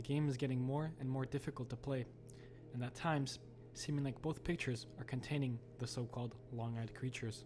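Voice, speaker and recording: Behind a man speaking at a fairly quick pace in a flat monotone, music plays. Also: medium pitch for a man. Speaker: horror commentary YouTuber. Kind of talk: horror video game commentary narration.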